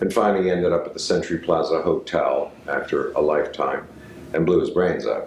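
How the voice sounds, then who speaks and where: Noticeable background noise and audible room echo surround a man talking at a fairly quick pace. His loudness stays very even. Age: 60s. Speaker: actor and acting teacher. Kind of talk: storytelling; lecture. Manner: halting.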